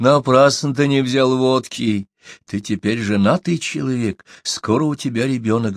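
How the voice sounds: Ordinary pitch variation runs through a natural reading voice. Behind it, all is quiet.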